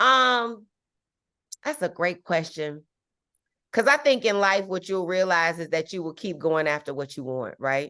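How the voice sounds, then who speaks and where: A woman with a fairly low pitch and a bright, sharp, animated tone, her pitch swinging very widely. She leaves long, frequent pauses against a quiet background. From Chicago, South Side. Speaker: actress. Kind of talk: classroom guest talk.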